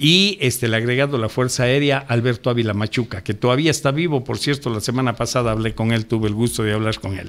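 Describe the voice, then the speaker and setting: A man talks at a very fast pace with hardly any pauses. His pitch is medium, with ordinary pitch variation. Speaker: ufologist. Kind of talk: radio interview.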